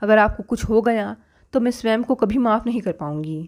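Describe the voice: Just plain reading aloud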